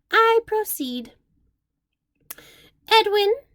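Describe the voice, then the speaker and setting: A woman puts on a squeaky character voice, raised and projected at an extremely high pitch. The sound is dry and close, with no echo. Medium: read story. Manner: pompous, lecturing.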